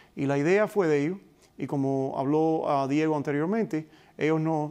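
A man speaks with a Cuban accent at a fairly high pitch. The background is quiet. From Cuba (Pinar del Río), raised in Hialeah, Florida. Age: 50s. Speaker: retired police officer and book co-author; guest. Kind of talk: interview. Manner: halting with many fillers. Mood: calm, reflective storytelling. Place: studio. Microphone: lapel.

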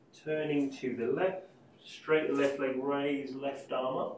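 A man's voice with audible room echo. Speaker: yoga teacher. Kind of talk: guided class instruction. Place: home room. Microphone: camera far.

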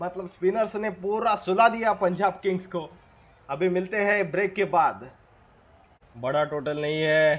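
The speaker is a man with a high pitch. He uses ordinary pitch variation. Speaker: gamer doing live match commentary for a cricket video game. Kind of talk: excited sports commentary.

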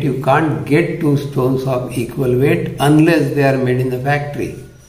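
Room echo can be heard on this clip. A man is talking at a fairly slow pace. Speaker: science toy demonstrator. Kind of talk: tutorial. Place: home room.

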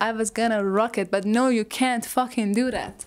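At a moderate pace, a woman speaks with a non-native accent. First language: not English. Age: 20s. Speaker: YouTuber. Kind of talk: video essay monologue. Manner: casual, self-deprecating. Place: home room. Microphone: lapel.

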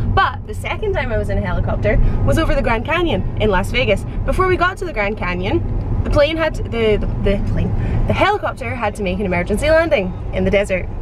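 A woman talks at a very fast pace. The sound is dry with no echo, but there is noticeable background noise. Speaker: travel vlogger. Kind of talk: casual vlog chat. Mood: cheerful, chatty. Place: car.

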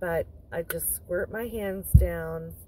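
There is noticeable background noise, yet the sound is dry with no echo. A woman speaks at a very slow pace. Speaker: van life vlogger. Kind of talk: casual tutorial vlog chat. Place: car. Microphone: phone near.

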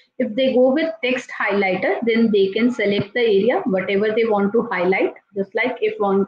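Over light background noise and audible room echo, a woman talks at a moderate pace. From India. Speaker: teacher and tool trainer; teacher, tool trainer. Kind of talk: software tutorial. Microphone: video call.

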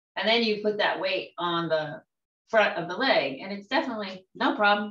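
A plain, everyday voice moves at a fairly quick pace with lively intonation. Its loudness swings widely. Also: woman. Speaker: tai chi student. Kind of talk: casual group discussion. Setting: video call.

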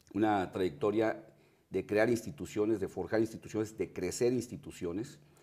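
A man speaks with a Mexican accent in a dark, mellow tone at a fairly low pitch. His pace is moderate, his pitch variation ordinary, and the background quiet. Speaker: TV interviewer. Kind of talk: TV interview. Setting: studio. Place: studio. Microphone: lapel.

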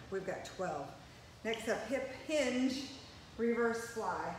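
A woman talks with audible room echo and light background noise. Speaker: fitness instructor. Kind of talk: workout instruction. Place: gym. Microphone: camera far.

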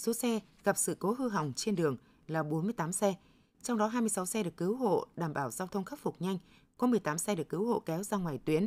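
With lively intonation, this woman keeps up a moderate pace. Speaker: radio news presenter. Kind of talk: news reading. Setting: studio. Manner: formal. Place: studio.

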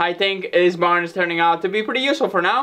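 In a quiet background, a man talks at a very fast pace. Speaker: farm renovation vlogger. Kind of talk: casual vlog chat. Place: workshop. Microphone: camera far.

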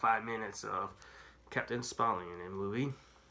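A man speaks with a fairly low pitch and a bright, sharp tone. There is audible room echo.

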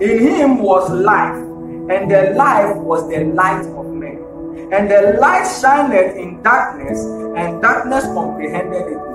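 Over clear background music and audible room echo, a man talks at a very slow pace. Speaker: minister. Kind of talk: sermon. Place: church.

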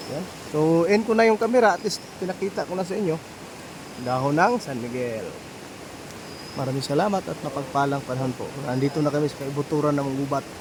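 The speech moves at a fairly quick pace yet has long, frequent pauses, with noticeable background noise throughout. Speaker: folk amulet and herbal vlogger. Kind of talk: outdoor vlog demonstration. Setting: outdoors in the forest.

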